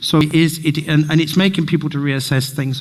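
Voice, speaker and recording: A man talks at a very fast pace in a monotone, flat intonation. Noticeable background noise runs underneath. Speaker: speaker at community event. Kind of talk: public talk with slides. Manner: halting.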